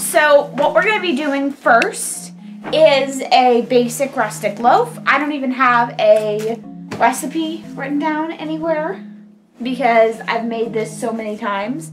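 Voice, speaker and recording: A woman speaks at a fairly slow pace in a high voice, with clear music playing in the background. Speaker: home cook host. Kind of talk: tutorial. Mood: playful, upbeat. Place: kitchen. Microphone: camera far.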